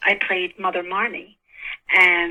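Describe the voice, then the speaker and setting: A woman with a New York accent at a moderate pace. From New York City, Queens. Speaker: actress. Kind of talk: interview.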